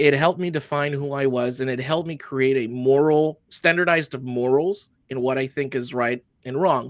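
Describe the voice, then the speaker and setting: A man with a Spanish accent speaks at a fairly high pitch in a very clean recording with a silent background. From Honduras. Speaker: army veteran, tactical training business founder. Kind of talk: interview.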